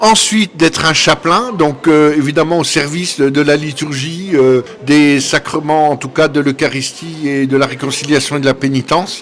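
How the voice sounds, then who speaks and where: Spoken at a moderate pace with hardly any pauses, the voice shows ordinary pitch variation over noticeable background noise. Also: man, fairly high pitch for a man. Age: 60s. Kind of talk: interview. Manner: hesitant with frequent fillers.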